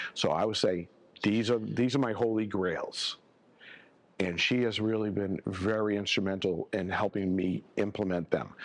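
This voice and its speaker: Speaking at a moderate pace, a man has an unremarkable speaking voice, fairly low in pitch, with fairly even intonation. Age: 60s. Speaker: accounting firm owner. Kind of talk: podcast interview. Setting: live at a conference.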